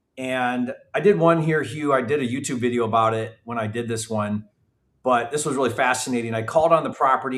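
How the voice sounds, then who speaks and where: Fairly quick and at a medium pitch, a man talks in a normal speaking voice with ordinary pitch variation. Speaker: real estate investor and educator. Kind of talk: live training. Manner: casual.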